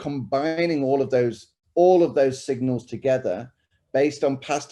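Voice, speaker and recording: A man's dark, mellow voice with a British accent. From UK. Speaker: tech company executive. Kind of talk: panel discussion.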